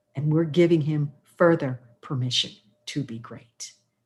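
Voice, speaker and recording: A woman speaks against a quiet background. Her voice is very deep and low, and somewhat breathy. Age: 60s. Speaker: radio talk show host. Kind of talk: talk radio panel introduction. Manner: animated.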